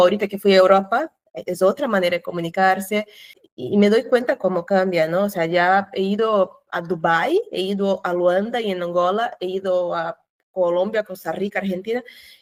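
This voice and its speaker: A woman with a Portuguese accent speaks at medium pitch with ordinary pitch variation. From Brazil. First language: Portuguese (speaking Spanish). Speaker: cultural manager. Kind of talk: interview.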